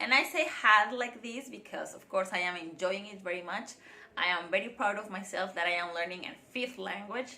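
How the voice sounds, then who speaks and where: A woman talks at a medium pitch with ordinary pitch variation and a bright, sharp tone. Her loudness swings widely, and there is audible room echo. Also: moderate pace. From Mexico (Mérida, Yucatán; then Guadalajara). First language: Spanish. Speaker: vlogger. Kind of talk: casual vlog monologue.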